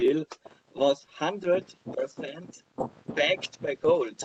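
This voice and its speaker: The speaker is a man with an Austrian accent. The sound is dry and close, with no echo. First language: German. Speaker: crypto blogger and speaker. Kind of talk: conference talk with slides. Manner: halting, many fillers and repeats.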